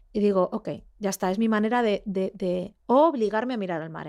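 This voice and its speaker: On a very clean recording with a silent background, a woman speaks fairly quickly at medium pitch with ordinary pitch variation. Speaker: investigative journalist. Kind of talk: interview conversation. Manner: fast; halting, many fillers.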